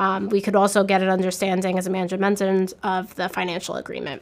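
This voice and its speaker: At a very fast pace, a woman speaks at a medium pitch with monotone, flat intonation. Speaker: accounting manager in real estate. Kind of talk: explanatory professional discussion.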